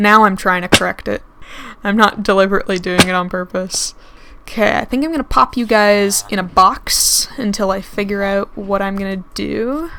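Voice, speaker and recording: A woman talks at a moderate pace, and noticeable background noise runs behind her. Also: medium pitch for a woman, ordinary pitch variation. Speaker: gaming let's play creator. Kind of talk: casual gameplay commentary. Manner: hesitant, many fillers.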